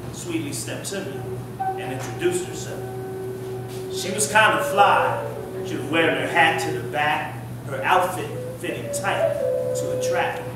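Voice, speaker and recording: Over music in the background, a man speaks at a moderate pace with long, frequent pauses and big swings in loudness. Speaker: spoken word poet. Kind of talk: spoken word poetry performance at open mic. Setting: live open mic venue.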